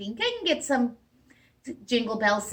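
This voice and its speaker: A woman uses a put-on character voice, high and squeaky. She delivers it at a moderate pace. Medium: read story. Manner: fussy, hurried.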